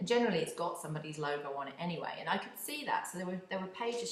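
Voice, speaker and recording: A woman with a British accent and a fairly low pitch talks very fast with lively intonation, amid noticeable background noise and audible room echo. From UK. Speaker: podcast host, community engagement consultant. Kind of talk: casual monologue. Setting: home office.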